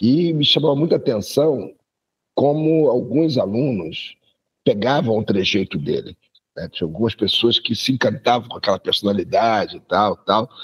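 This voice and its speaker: A man with a medium pitch speaks at a moderate pace, his intonation lively and his voice somewhat breathy. The sound is dry and close, with no echo. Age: 60s. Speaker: university professor. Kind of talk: casual chat.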